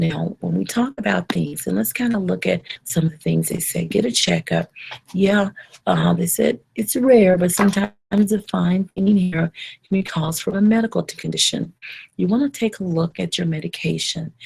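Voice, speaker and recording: The whispering is quiet, with a dry, close sound and no echo. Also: woman. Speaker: trichologist hosting a hair advice live show. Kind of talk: live online Q&A show. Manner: slow; quiet, whispery.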